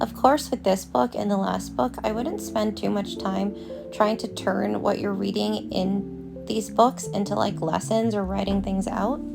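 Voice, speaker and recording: Over music in the background, a woman talks at a fairly slow pace with hardly any pauses. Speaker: language learner. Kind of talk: casual talk to camera.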